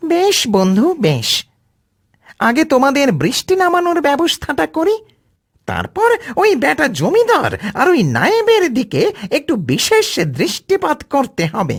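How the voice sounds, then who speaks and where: A cartoonish character voice, high in pitch, at a fairly slow pace. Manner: casual, cocky.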